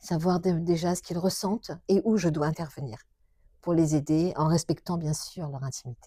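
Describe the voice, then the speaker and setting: A woman speaks at a moderate pace in a fairly low, somewhat breathy voice with a dark, mellow tone and ordinary pitch variation, on a very clean recording with a silent background. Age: 60s. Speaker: shiatsu practitioner. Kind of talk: interview. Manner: halting.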